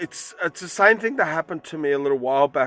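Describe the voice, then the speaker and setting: With music in the background, a man with an Australian accent speaks at a fairly high pitch and ordinary pitch variation. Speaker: vlogger on bushcraft and spirituality. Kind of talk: casual vlog monologue. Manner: halting, many fillers.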